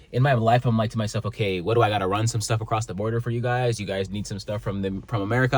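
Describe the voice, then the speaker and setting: At a very fast pace, a man with a fairly low pitch talks in an animated tone, somewhat breathy. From Canada. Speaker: motivational vlogger. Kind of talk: casual vlog monologue. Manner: animated, stumbling over words.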